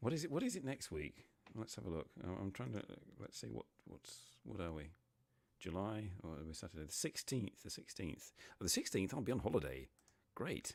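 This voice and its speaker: This man has a very deep, low pitch with vocal fry and lively intonation. He talks at a moderate pace. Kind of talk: casual live stream talk.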